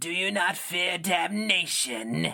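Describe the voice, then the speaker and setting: Growling in a raspy, put-on character voice, a man speaks at a high pitch. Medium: read story. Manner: archaic, cold.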